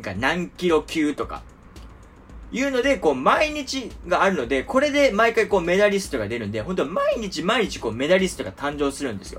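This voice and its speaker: Noticeable background noise sits behind a man whose high-pitched voice swings very widely in pitch. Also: fairly quick pace. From Japan. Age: 20s. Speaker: podcast host. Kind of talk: casual monologue. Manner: many filler words.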